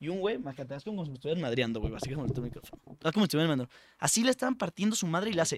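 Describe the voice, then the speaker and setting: A man speaks at a very fast pace in an animated tone, his fairly high pitch making very wide swings. The sound is dry and close, with no echo. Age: 20s. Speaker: comedy podcast host. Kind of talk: casual comedic chat.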